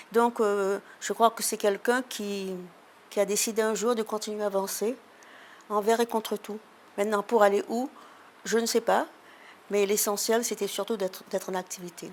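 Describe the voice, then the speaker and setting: A woman speaks at a moderate pace in a fairly high, flat monotone. She leaves long, frequent pauses, and the recording is very clean with a silent background. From Réunion, rural area (Les Avirons). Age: 90s. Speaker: women's rights activist. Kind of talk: interview. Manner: halting, many repetitions.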